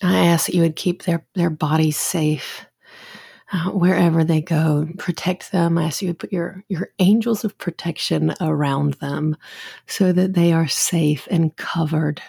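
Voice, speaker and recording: A woman's fairly low, somewhat breathy voice comes with fairly even intonation, in dry, close sound with no echo on a very clean recording with a silent background. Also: fairly slow pace. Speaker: podcast host and mother. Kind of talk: fervent prayer. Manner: earnest, tender, heartfelt; halting, repeating words, soft.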